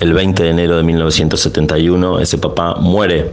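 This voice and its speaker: Flat, monotone intonation comes through noticeable background noise and audible room echo. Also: man. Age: 40s. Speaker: journalist. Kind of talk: interview testimony. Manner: halting, repeats words.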